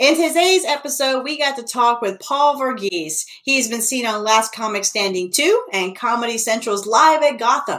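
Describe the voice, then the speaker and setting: Over noticeable background noise, a woman with a high voice talks with lively intonation and hardly any pauses. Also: moderate pace. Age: 30s. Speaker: comedian podcast host. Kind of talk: casual interview chat.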